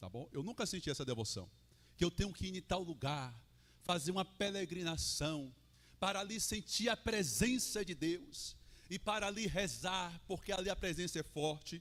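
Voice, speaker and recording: Loud and animated, a man speaks at a high pitch and moderate pace with lively intonation. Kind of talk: sermon. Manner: conversational, animated.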